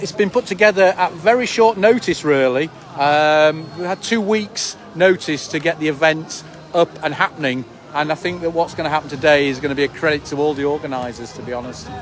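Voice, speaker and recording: A man with a fairly high pitch and ordinary pitch variation talks at a fairly quick pace amid noticeable background noise. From northern England, Leeds. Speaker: event organiser and live streamer. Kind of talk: live street interview and livestream commentary. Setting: outdoors at a rally.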